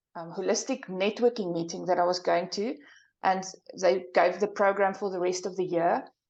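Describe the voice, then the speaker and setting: A woman's medium-pitched voice with a South African accent, monotone and flat, at a moderate pace over a quiet background. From South Africa, small town in the interior. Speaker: psychic and soul path coach. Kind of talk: interview.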